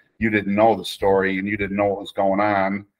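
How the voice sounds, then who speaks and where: Against a quiet background, a man with an American accent talks fairly quickly in a fairly low, flat monotone. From Chicago. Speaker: football coach and restaurant owner; football coach. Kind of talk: casual chat. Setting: video call. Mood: relaxed storytelling about concerts. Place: kitchen. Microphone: webcam.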